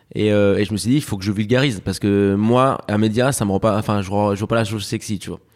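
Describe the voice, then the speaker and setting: A man's fairly low voice rushes along at a very fast pace. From France, raised from age 7 after birth in Spain. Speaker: media founder and journalist. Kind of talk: interview. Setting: office. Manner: animated.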